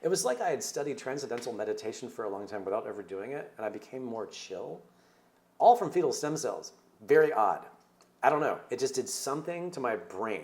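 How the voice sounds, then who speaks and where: Animated and fairly quick, a man with a fairly high pitch and vocal fry uses very wide pitch swings and big swings in loudness. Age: 50s. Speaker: documentary filmmaker. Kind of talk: interview. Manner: fast.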